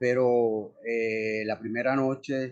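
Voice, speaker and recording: In a Puerto Rican accent, a man talks at a medium pitch. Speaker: actor. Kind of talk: interview conversation. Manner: monotone.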